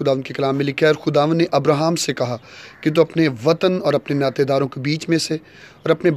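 A man talks with fairly even intonation. The sound is dry, with no echo. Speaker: speaker. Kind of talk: daily devotional talk with scripture reading. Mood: calm, earnest. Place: open country. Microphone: phone near.

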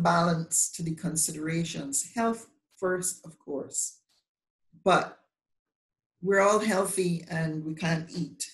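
A woman speaks very slowly in a somewhat breathy voice, with ordinary pitch variation. The background is quiet, but there is audible room echo. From Barbados. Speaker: bar association president, lawyer; lawyer. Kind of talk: panel discussion. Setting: video call. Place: home room. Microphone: video call.

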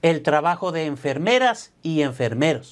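A moderate pace over a quiet background. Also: man. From Latin America. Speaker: accountant and tax preparer; business coach. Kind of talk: scripted narration. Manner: motivational. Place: office. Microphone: lapel.

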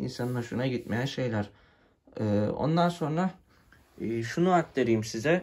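A man speaks with lively intonation at a fairly slow pace. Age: 20s. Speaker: tech YouTuber; scooter owner reviewer. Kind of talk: product review tutorial. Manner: casual with frequent fillers. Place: home room. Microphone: phone near.

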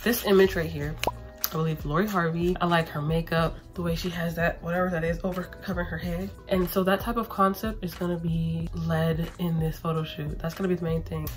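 A woman at a fairly quick pace, with faint music in the background. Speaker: artist vlogger. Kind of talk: casual vlog chat. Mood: upbeat, playful. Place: home room. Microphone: phone near.

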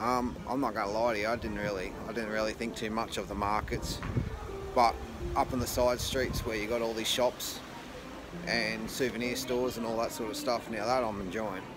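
A man speaks at a moderate pace with fairly even intonation and a fairly low pitch, with clear background noise behind him.

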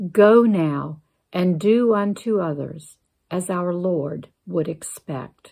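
A woman's fairly low, dark, mellow voice in a soothing, calm tone, at a very slow pace with ordinary pitch variation, over a quiet background. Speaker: church member reading a Lenten meditation. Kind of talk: guided meditation and closing prayer. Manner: slow, calm, reverent, gentle pacing with pauses; earnest, prayerful, soothing. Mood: calm, reverent.

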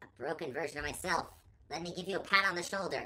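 In a put-on character voice, a female-sounding speaker rattles along at a very fast pace with a fairly low pitch. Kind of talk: casual game commentary. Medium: role play. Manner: upbeat.

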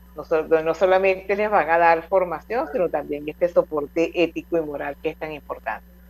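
In a plain, everyday voice, a woman with a fairly low pitch and ordinary variation talks at a fairly quick pace with hardly any pauses. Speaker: radio host. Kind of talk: radio interview.

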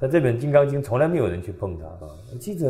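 Somewhat breathy, a man talks at a very fast pace. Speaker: religious lecturer. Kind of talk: sermon. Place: hall.

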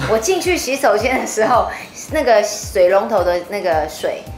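A woman speaks over clear music in the background. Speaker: singer. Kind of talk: interview answer. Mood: animated storytelling, slightly spooked. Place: meeting room.

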